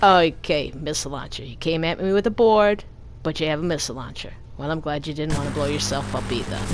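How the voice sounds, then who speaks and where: With music in the background, a woman with a Brooklyn accent talks very fast in a very deep, low pitch. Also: ordinary pitch variation. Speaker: gaming YouTuber. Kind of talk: live gameplay commentary. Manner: animated.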